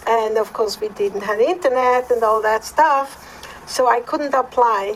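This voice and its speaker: Noticeable background noise behind a woman with a Swiss accent, high pitch, ordinary pitch variation and a fairly slow pace. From Switzerland. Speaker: podcast co-host. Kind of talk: personal testimony.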